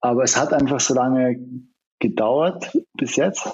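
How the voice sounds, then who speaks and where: The speaker talks at a very slow pace with a slight Austrian accent. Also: man. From Austria, Vienna. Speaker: film director and screenwriter. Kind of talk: interview. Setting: remote call.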